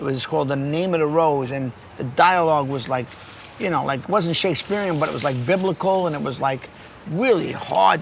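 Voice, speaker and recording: A man's fairly high voice with lively intonation at a moderate pace, with audible room echo and noticeable background noise. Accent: New York. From New York City. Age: 60s. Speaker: podcast host and actor. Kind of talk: casual interview chat. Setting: pizza shop.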